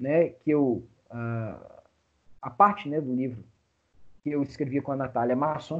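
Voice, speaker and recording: With a Brazilian accent, a man speaks at a fairly slow pace and fairly high pitch, with ordinary pitch variation and long, frequent pauses. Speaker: law professor. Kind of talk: lecture.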